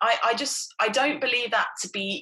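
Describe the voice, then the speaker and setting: A woman speaks with a southern English accent at a fairly slow pace. Her pitch swings very widely. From Hertfordshire, England. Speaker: missionary, former advertising executive. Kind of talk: casual interview.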